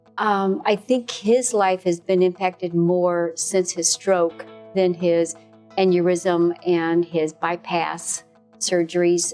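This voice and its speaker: A woman's fairly low voice at a very slow pace, with fairly even intonation, very even loudness and music in the background. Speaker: wife and caregiver of a stroke patient. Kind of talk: interview answer.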